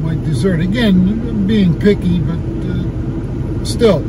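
A man speaks over loud background noise. The sound itself is dry, with no echo. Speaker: restaurant reviewer vlogger. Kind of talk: casual vlog chat. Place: car. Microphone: phone near.

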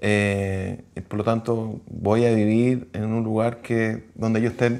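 A man speaks in a Chilean accent. The background is quiet. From Santiago, Chile. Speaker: civil engineer; interviewee. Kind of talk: interview testimony. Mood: calm, reflective. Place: home room. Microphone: lapel.

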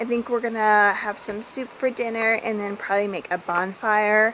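A woman's voice over noticeable background noise. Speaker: family vlogger. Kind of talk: casual vlog chat. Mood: relaxed, happy. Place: garden. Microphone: phone near.

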